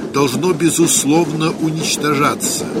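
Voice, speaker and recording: This man talks at a fairly slow pace with a fairly high pitch and ordinary pitch variation. Noticeable background noise can be heard. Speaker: documentary narrator reading quoted documents. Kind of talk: history documentary narration, reading aloud documents and diary excerpts. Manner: dry, matter-of-fact reading of figures and reports.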